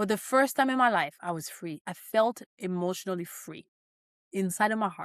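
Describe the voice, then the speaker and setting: The voice is animated, with lively intonation, a moderate pace, and a French accent. The very clean recording has a silent background and a dry, close sound with no echo. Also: woman. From Cameroon (French-speaking part). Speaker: financial coach. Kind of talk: motivational talk.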